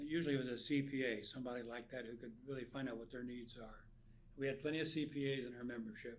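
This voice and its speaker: A man with a medium-pitched voice speaks at a very fast pace with fairly even intonation. Room echo is audible. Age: 90s. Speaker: nonprofit founder. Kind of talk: interview.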